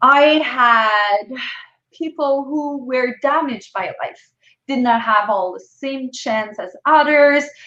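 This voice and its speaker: A woman's raised, projected voice in a French accent, high in pitch and bright, sharp in tone, with ordinary pitch variation at a very slow pace. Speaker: entrepreneur. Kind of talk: interview.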